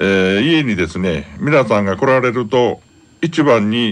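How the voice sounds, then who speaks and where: His pace is very slow. This man's pitch moves with ordinary variation. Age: 60s. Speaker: senior college student radio supporter. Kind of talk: radio interview. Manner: halting.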